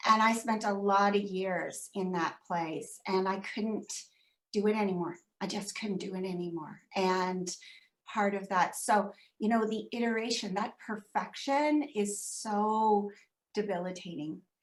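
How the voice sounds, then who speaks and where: A woman speaks at a fairly slow pace and medium pitch in a plain, everyday voice. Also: fairly even intonation. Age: 60s. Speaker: business guest. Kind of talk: casual chat.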